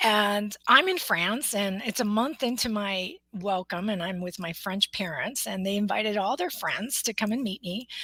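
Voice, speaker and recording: In a normal speaking voice, a woman with an American accent talks at a moderate pace with hardly any pauses, medium pitch and ordinary pitch variation. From US, Mexican American family. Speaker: motivational speaker, coach and author. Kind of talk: interview about her book.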